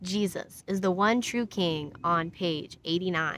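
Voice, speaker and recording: A woman's bright, sharp tone with ordinary pitch variation, dry with no echo, over light background noise. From US Midwest, Iowa. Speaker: Bible study host, YouTuber. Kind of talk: casual Bible study livestream. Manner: halting, with fillers. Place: open country. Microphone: phone near.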